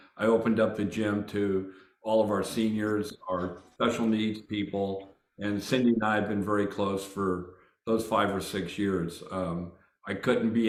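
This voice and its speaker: Against audible room echo, a man speaks slowly-ish in a fairly low, monotone, flat voice. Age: 70s. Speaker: gym owner and war veteran. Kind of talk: casual introduction on a video call.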